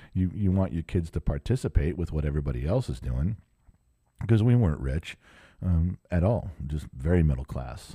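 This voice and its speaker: A man with an American accent and a very deep, low pitch, dark and mellow in tone and somewhat breathy, with lively intonation at a moderate pace, in a very clean, dry, close recording with no echo and a silent background. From US, Southern California (outside Los Angeles). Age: 50s. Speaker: podcast host. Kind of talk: solo casual monologue. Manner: halting, many fillers and restarts.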